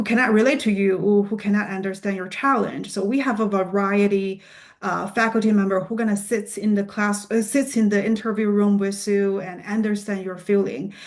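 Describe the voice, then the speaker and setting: Speaking with a non-native accent, a woman keeps a medium pitch, fairly even intonation and a fairly quick pace with hardly any pauses. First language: not English. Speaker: PA program admissions representative. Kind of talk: Q&A answers at admissions presentation. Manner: halting, many fillers and restarts.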